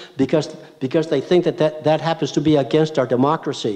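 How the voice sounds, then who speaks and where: There is noticeable background noise behind this man. He talks at a very fast pace. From Southern California, Orange County. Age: 80s+. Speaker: retired judge, lecturer. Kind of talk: public lecture. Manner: halting, many repetitions and false starts.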